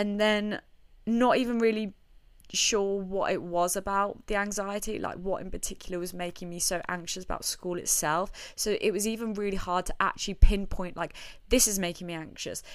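Against a silent background in a very clean recording, a woman with a plain, everyday voice speaks at a moderate pace, medium in pitch and fairly even in intonation. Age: 20s. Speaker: podcast host. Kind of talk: casual solo monologue.

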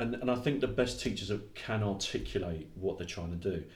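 A somewhat breathy speaker with an English accent talks at a fairly quick pace with ordinary pitch variation. Room echo is audible. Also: man. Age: 50s. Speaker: education consultant and trainer. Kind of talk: interview.

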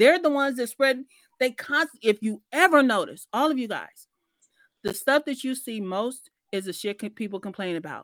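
A woman speaks in a high, animated voice with lively intonation, and the sound is dry and close with no echo. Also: moderate pace. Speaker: author and personal branding coach. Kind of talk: live audio room discussion. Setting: live online audio room. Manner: animated, profane and informal.

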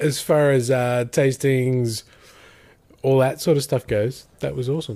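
Speaking with an Australian accent, a man uses a medium pitch and fairly even intonation at a fairly slow pace. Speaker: podcast host. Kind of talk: casual chat.

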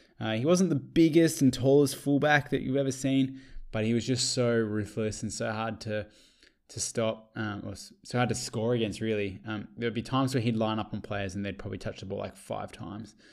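A man with an Australian accent, medium pitch, ordinary pitch variation and a fairly quick pace. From Australia, Geelong (Victoria). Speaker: podcaster. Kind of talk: solo monologue. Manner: animated.

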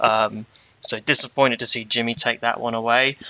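A man with a normal speaking voice speaks at a medium pitch and a moderate pace. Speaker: guest.

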